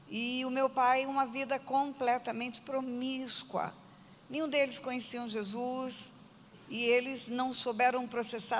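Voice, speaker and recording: Amid noticeable background noise, a woman with a high pitch speaks at a fairly slow pace in a flat, monotone way. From Brazil, Mato Grosso do Sul (Aquidauana). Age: 60s. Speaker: pastor. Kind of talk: testimony.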